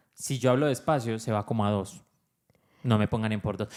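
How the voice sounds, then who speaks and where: At a moderate tempo and a medium pitch, a man talks in an unremarkable speaking voice. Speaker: podcast co-host, father. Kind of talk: casual chat.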